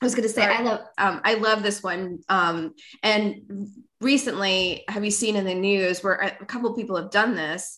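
A woman's bright, sharp voice at medium pitch, with an American accent, fairly even intonation and a moderate pace. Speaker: podcast host. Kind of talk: casual chat.

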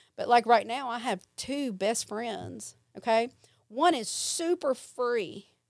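A woman with a Mississippi accent speaks very slowly in a high voice, with ordinary pitch variation. Her loudness swings widely, and the recording is very clean with a silent background. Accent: US Southern (Mississippi). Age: 40s. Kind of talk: testimony. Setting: studio.

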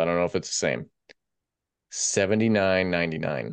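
A man speaks at a moderate pace in a very deep, low pitch with vocal fry. His tone is animated, his intonation lively, and the background quiet. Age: 40s. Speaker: boxing podcast co-host and producer. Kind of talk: casual chat. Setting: remote, not in studio.

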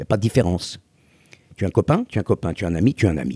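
In a very clean recording with a silent background and a dry, close sound free of echo, a man talks at a very fast pace, somewhat breathy, in a dark, mellow tone. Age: 70s. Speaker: former croupier and restaurateur. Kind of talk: casual conversation. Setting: outdoors on a beach.

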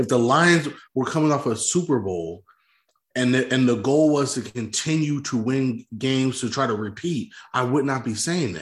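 In an ordinary speaking voice, a man talks at a moderate pace with medium pitch and ordinary pitch variation. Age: 30s. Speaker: sports podcast co-host. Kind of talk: casual sports debate.

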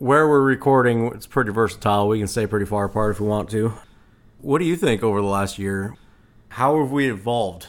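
A man talks at a fairly quick pace in an ordinary speaking voice. His fairly low pitch has ordinary pitch variation. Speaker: podcast co-host. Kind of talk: casual chat.

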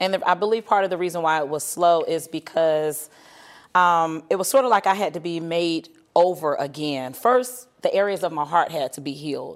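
On a very clean recording with a silent background, a woman has a normal speaking voice, fairly low in pitch, with lively intonation at a moderate pace. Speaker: ministry leader. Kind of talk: testimony. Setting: studio.

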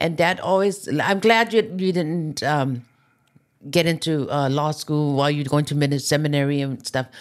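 A woman with a Hawaiian accent, very deep and low in pitch, ordinary pitch variation, on a very clean recording with a silent background. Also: moderate pace. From Hawaii, Oahu west side. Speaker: podcast guest, mother. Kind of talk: casual chat. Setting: studio.

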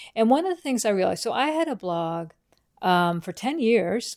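A woman talks at a moderate pace in a Southern US accent, with very wide pitch swings. The recording is very clean, with a silent background. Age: 50s. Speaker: quilting podcast host. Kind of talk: solo casual monologue. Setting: at home on the couch. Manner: chatty, rambling with fillers.

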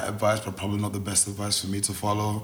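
A fairly low-pitched man's voice against noticeable background noise. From Nigeria, raised in Scotland then England. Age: 20s. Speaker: dancer. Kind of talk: casual interview chat.

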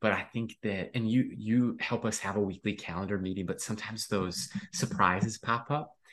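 A man speaks at a moderate pace. He has an unremarkable speaking voice. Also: quiet background. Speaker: podcast co-host. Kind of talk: casual chat. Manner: excitable.

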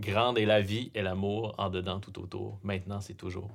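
On a very clean recording with a silent background, a man with a fairly low voice and a Quebec accent speaks fairly slowly. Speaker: podcast host. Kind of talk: interview conversation. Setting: studio.

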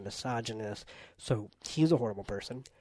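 A man with an ordinary speaking voice. He speaks at a moderate pace. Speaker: podcast host. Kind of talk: casual chat.

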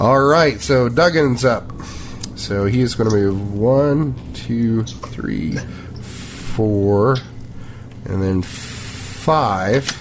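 A man with an American accent speaks very slowly. Audible room echo and noticeable background noise surround his voice. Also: medium pitch for a man, ordinary pitch variation. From Kentucky. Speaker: tabletop game master. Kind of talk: tabletop role-play narration.

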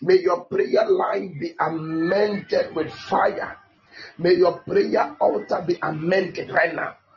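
Noticeable background noise runs under this recording. A man talks at a very slow pace. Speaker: prayer minister. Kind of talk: fervent prayer, decreeing and declaring over listeners. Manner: loud, commanding, emphatic, repeating phrases.

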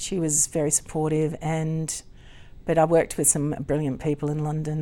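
A woman's very deep, low voice with a dark, mellow tone, an Australian accent and a moderate pace. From Queensland, Australia (Gympie area). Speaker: opera singer and singing teacher. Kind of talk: interview. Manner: laughs often.

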